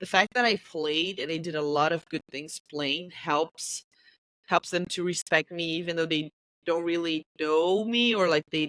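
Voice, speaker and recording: Heard in a dry, close sound with no echo, a woman speaks in a Brazilian Portuguese accent at a fairly low pitch with fairly even intonation. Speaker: football coach. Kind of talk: interview. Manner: halting, searching for words.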